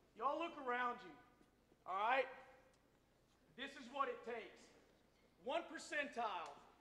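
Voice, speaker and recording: A man speaks in an extremely high, bright and sharp voice, raised and projected, at a moderate pace with ordinary pitch variation. His loudness swings widely, long pauses come often, and the room echo is audible. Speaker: army veteran and guest speaker. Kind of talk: speech to school audience. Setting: school assembly with audience.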